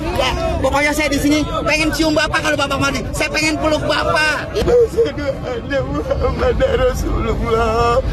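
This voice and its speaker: Crowd noise fills the background as a man with a strong Jakarta accent talks at a moderate pace with very even loudness, and room echo is audible. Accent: thick Betawi. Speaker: food stall owner at protest. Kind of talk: street oration. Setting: outdoors at street protest. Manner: animated.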